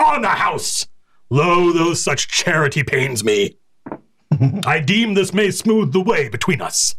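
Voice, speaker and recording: A man puts on a high-pitched character voice, breaking it up with long, frequent pauses. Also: fairly slow pace. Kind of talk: archaic and formal. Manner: gruff yet courteous.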